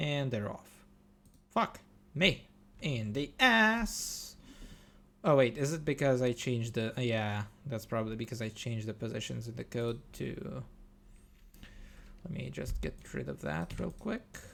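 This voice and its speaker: The speech comes at a fairly slow pace with long, frequent pauses, recorded very cleanly against a silent background. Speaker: game developer streaming live coding. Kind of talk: live stream coding commentary. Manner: casual, rambling self-talk.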